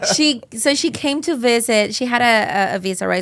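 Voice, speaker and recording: A woman's fairly high voice with ordinary pitch variation and a strong Colombian accent. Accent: heavy Colombian Spanish. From Colombia (Cali). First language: Spanish. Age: 30s. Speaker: real estate agent. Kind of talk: casual interview chat.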